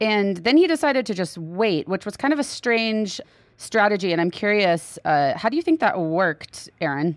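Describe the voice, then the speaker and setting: On a very clean recording with a silent background, a woman with an American accent speaks at a moderate pace and a medium pitch, her voice swinging very widely in pitch. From Texas. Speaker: public lands podcast co-host. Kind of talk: casual news roundup chat.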